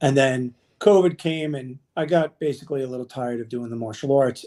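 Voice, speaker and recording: Dark, mellow tone, ordinary pitch variation, and a moderate pace. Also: man. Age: 50s. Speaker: fitness and nutrition coach. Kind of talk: casual interview chat.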